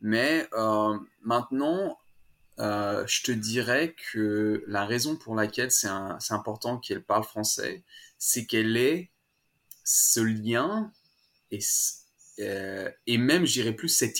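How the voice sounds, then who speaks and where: Very slowly, a man speaks with long pauses that come often. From France, Savoie (Annecy, Alps). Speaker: parent running a playgroup. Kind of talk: interview. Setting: online call. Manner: halting, with frequent repetitions.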